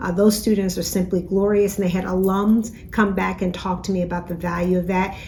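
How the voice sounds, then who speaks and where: A woman talks at a fairly quick pace with hardly any pauses, her intonation monotone and flat. Noticeable background noise runs underneath. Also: medium pitch for a woman. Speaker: university president. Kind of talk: weekly message to campus. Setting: office. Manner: fast.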